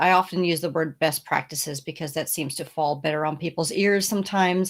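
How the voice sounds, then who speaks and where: This woman has an ordinary speaking voice with a fairly low pitch. Her pitch varies in an ordinary way. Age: 60s. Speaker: founder of a speaker and podcast guest booking agency. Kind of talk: interview. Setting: podcast interview.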